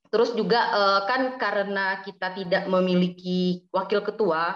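Fairly even intonation from a woman speaking at a medium pitch. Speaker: student secretary. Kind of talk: casual interview. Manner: hesitant, filler words.

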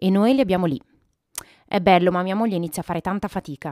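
A woman speaks very fast in a dark, mellow tone at a fairly low pitch, with ordinary pitch variation and a dry, close sound with no echo on a very clean recording against a silent background. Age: 30s. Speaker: podcast host, business coach. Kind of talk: reading aloud.

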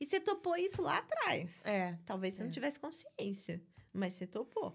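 A woman speaks at a moderate pace. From Brazil, Rio de Janeiro (Barra da Tijuca). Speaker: writer. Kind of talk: interview conversation.

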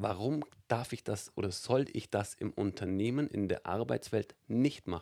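A man speaks in a fairly low pitch with a dark, mellow tone. His pace is fairly slow and his pitch variation ordinary. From Allgäu, Bavaria, Germany. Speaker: stage host and business presenter. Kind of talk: interview. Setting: studio.

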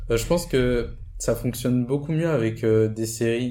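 A man's dark, mellow voice with ordinary pitch variation and audible room echo. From Guadeloupe. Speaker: engineering student. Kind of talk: casual chat.

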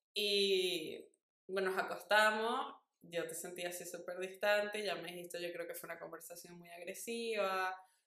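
A woman speaks at a moderate pace and medium pitch, her tone bright and sharp with fairly even intonation. Her loudness swings widely, and the room echo is audible. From Venezuela. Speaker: podcast co-host. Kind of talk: casual chat.

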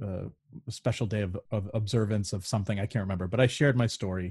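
Against a quiet background, a somewhat breathy man with a dark, mellow tone and fairly low pitch speaks at a fairly quick pace with ordinary pitch variation. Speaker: choral conductor and singer. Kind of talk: casual chat.

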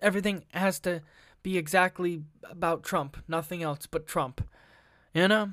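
On a very clean recording with a silent background, a man with a high pitch talks at a moderate pace and with fairly even intonation. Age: 20s. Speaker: solo podcast host. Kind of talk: profane solo podcast rant reacting to presidential debate news. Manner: halting with fillers and repeated words; heated, scornful and indignant, swearing as he reads news aloud.

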